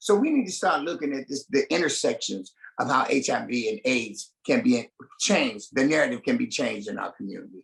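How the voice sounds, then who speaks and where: This man talks at a fairly quick pace with an American accent, a fairly high pitch, very wide pitch swings and vocal fry. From Cleveland, Ohio, US. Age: 60s. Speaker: HIV activist. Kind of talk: podcast interview.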